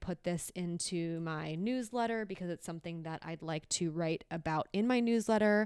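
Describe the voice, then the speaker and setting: A plain, everyday voice comes through at a moderate pace with ordinary pitch variation in a very clean recording with a silent background. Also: woman. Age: 30s. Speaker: artist and podcaster. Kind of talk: software tutorial walkthrough.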